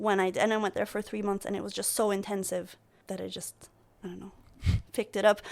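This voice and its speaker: With a non-native accent, a woman at medium pitch speaks at a very fast pace in monotone, flat intonation, with vocal fry, big swings in loudness and long, frequent pauses. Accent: foreign accent in English. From Greece and Turkey. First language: Turkish and Greek. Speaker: marine governance researcher. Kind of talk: casual interview. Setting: podcast recording.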